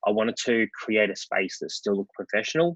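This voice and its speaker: A man with an Australian accent at a fairly quick pace, in a dry, close sound with no echo. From Melbourne, Australia (western suburbs). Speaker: wedding photographer and venue owner. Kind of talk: casual interview.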